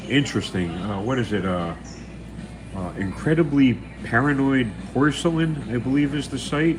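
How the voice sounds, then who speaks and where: Speaking with an American accent at a moderate pace, a man with a medium-pitched voice and lively intonation leaves long, frequent pauses, with noticeable background noise and audible room echo. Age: 70s. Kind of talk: casual live stream chat. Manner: halting, many repeated words and fillers.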